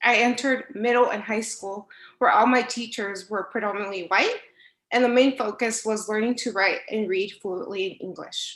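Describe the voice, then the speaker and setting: This woman's voice sits at a fairly high pitch, moving at a moderate pace with fairly even intonation. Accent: Spanish. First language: Spanish. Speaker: instructional assistant. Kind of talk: prepared speech at board meeting.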